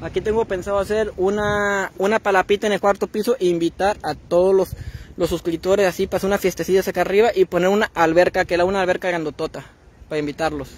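Speaking very fast in a high pitch, a man keeps his intonation fairly even on a dry recording with no echo. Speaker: livestreamer. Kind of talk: casual livestream chat. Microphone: phone near.

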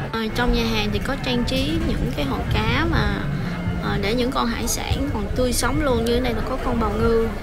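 Background music plays while a woman talks. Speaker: food vlogger. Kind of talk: casual vlog chat. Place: cafe. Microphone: phone near.

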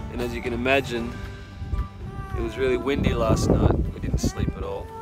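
The sound is dry with no echo, and loud music plays in the background. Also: man. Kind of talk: casual vlog chat. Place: open country. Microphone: phone near.

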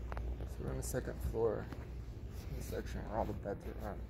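Speech comes at a moderate pace over noticeable background noise. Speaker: vlogger filming a store. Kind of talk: casual vlog chat. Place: shop. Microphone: phone near.

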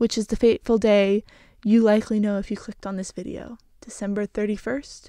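A woman with a medium pitch talks at a fairly quick pace in a dark, mellow tone, with little pitch movement.

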